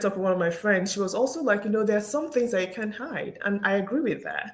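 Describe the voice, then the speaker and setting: A woman's fairly high voice at a very fast pace, with lively intonation. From Nigeria. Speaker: engineer and speaker. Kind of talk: interview conversation.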